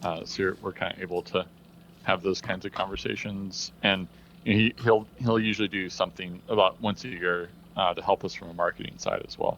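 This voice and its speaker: With a Midwestern accent, a man speaks in a fairly low voice with fairly even intonation. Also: fairly quick pace. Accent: General American Midwestern. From US Midwest. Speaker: tech company co-founder. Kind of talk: casual interview chat.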